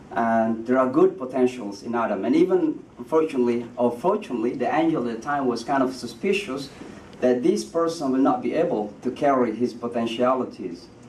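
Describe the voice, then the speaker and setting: Against noticeable background noise and audible room echo, a man of medium pitch speaks at a fairly quick pace. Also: ordinary pitch variation. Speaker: imam. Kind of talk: speech. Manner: halting.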